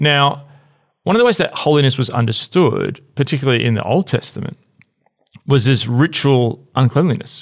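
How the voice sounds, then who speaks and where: With a Melbourne accent, a man speaks at a moderate pace in a fairly high pitch, his loudness very even. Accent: Australian, Melbourne, fairly flat. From Melbourne, Australia. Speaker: podcast host, church leader. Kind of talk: casual conversational discussion. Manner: hesitant, many fillers.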